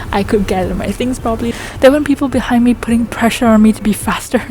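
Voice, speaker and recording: Noticeable background noise surrounds a woman whose fairly high pitch shows ordinary variation. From Malaysia. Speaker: vlogger, university student. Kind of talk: casual travel vlog.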